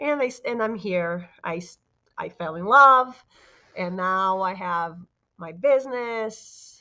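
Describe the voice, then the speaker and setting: A woman speaks very slowly in a Brazilian Portuguese accent. Her intonation is lively, and her loudness swings widely. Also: medium pitch for a woman. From Brazil, Vitória, Espírito Santo. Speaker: fitness business owner. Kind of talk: casual interview chat.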